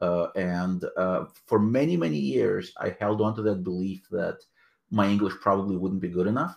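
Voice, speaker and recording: Against a quiet background, a man with a Russian accent speaks at a moderate pace, his fairly low pitch showing ordinary variation. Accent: Russian-type accent in English. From Soviet Union, emigrated to US at 13-14. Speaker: author and anthology editor. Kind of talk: interview. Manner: hesitant, many fillers.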